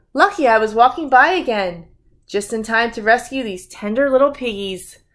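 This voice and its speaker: Doing a put-on character voice, a female-sounding speaker talks at a moderate pace with fairly high pitch for a woman on a very clean recording with a silent background. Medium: read story.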